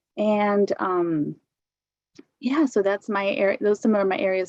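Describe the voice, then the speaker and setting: A woman talks in an ordinary speaking voice with an American accent, at a medium pitch and a moderate pace. Her pitch variation is ordinary, and the sound is dry and close with no echo. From US Pacific Northwest. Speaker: education consultant. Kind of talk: work presentation.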